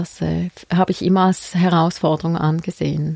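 Recorded dry and close with no echo, a woman talks fairly slowly in a fairly low pitch with a dark, mellow tone. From Switzerland, Frauenfeld (Thurgau). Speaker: midwife. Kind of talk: interview. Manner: halting, many fillers.

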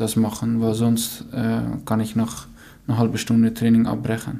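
A man talks at a very slow pace and a medium pitch. Audible room echo surrounds his voice. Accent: Dutch. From Netherlands. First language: Dutch (speaking German). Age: 20s. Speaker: professional footballer. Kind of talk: interview answers. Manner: halting, many fillers.

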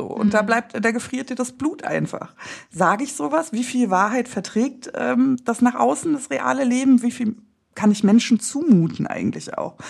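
A woman talks at a moderate pace. Her pitch is high. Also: lively intonation. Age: 30s. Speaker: breast cancer survivor and podcaster. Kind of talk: casual interview chat.

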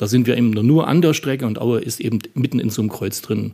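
A man speaks at a medium pitch and a fairly quick pace. His tone is dark and mellow. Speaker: local chronicler and district head. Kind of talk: interview.

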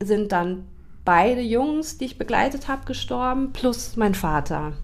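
A woman speaks with audible room echo. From Hesse, Germany (Taunus near Frankfurt). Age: 40s. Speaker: grief counselor and children's book author. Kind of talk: casual interview chat.

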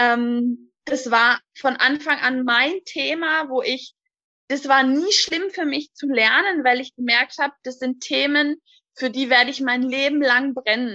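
A woman uses a raised, projected voice with a high pitch and a bright, sharp tone, speaking at a very slow pace with ordinary pitch variation in a dry, close sound with no echo. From Hochrhein, southern Baden-Württemberg near the Swiss border. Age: 20s. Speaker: daycare centre manager. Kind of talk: interview.

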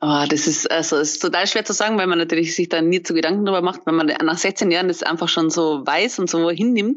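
A woman with a fairly low pitch speaks at a very fast pace with hardly any pauses, very even loudness and ordinary pitch variation. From Austria. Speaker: wedding photographer. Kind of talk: casual interview. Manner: halting, many fillers.

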